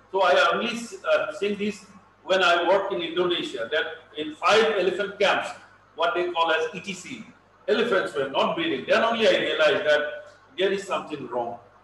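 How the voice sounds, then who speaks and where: A man's high-pitched, lively voice at a fairly quick pace, with audible room echo and light background noise. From Assam, India. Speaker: veterinarian, elephant expert; lecturer on elephant breeding. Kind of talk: lecture. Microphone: video call.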